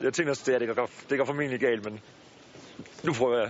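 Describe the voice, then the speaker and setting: A man with a medium-pitched voice talks at a very fast pace. Noticeable background noise can be heard. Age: 20s. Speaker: injured soldier. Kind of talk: casual interview.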